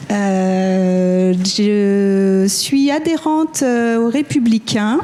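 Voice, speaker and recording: A woman talks in a fairly high pitch with noticeable background noise behind her. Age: 40s. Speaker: municipal election candidate. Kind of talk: election debate.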